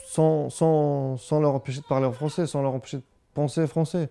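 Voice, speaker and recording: A man's fairly high-pitched voice, ordinary pitch variation, fairly slow pace, noticeable background noise. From Brittany, France (Quimper). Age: 30s. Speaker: father of a bilingual family. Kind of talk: interview testimony. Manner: hesitant, with repetitions.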